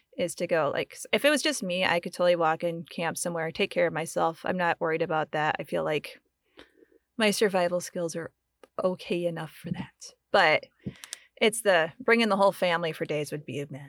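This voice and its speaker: Speaking at a fairly quick pace with an American accent, a woman has a normal speaking voice, fairly low in pitch with ordinary pitch variation, in a dry, close sound with no echo. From US, grew up in the woods. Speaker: podcast producer and Air Force veteran. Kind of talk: casual chat.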